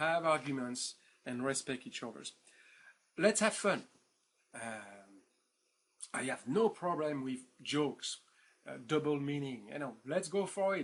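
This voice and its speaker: With a French accent, a man speaks at a fairly slow pace and a fairly high pitch. He takes long, frequent pauses. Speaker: professor. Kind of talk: lecture. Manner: hesitant, many fillers; informal, animated.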